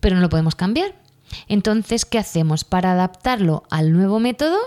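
A woman speaks at a fairly quick pace with a dark, mellow tone. Her pitch sits fairly low. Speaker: primary school teacher and podcast host. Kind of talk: casual solo monologue.

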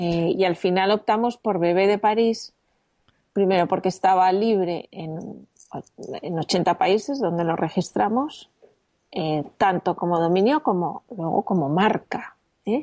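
Her tone is dark and mellow, at a medium pitch with ordinary pitch variation. The woman speaks at a fairly slow pace. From Spain, Madrid. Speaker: entrepreneur. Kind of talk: interview.

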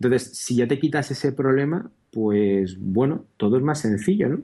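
In an unremarkable speaking voice, the speaker goes at a moderate pace with ordinary pitch variation. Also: man. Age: 30s. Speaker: software entrepreneur and programmer. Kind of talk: interview.

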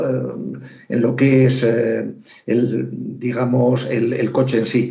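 There is audible room echo as a man speaks at medium pitch with vocal fry. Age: 60s. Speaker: retired theoretical physicist, electric car owner. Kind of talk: casual chat.

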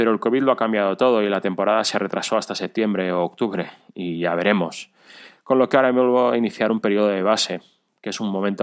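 A man talks at a very fast pace with a fairly low pitch. His pitch variation is ordinary, against a quiet background. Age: 40s. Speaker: amateur cyclist and runner, listener. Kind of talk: recorded personal story.

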